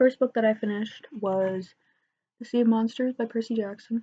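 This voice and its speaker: Soft-spoken and dark, mellow in tone, a woman talks at a moderate pace against a quiet background. Her fairly high voice keeps a fairly even intonation. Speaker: book vlogger. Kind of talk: casual chat.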